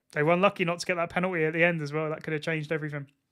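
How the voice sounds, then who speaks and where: A man speaks in an Essex accent with a bright, sharp tone. The recording is very clean, with a silent background. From England, Essex. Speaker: football streamer. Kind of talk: live watchalong commentary. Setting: live stream. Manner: animated.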